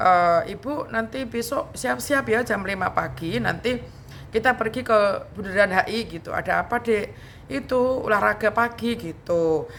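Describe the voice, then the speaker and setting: The speaker talks at a moderate pace with lively intonation and vocal fry. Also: woman. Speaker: YouTube vlogger. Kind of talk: casual storytelling vlog.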